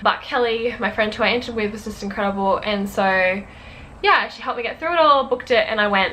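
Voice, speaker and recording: A woman's fairly high voice with an Australian accent, ordinary pitch movement, audible room echo and noticeable background noise. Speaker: YouTuber, university student. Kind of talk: casual chat to camera. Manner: fast.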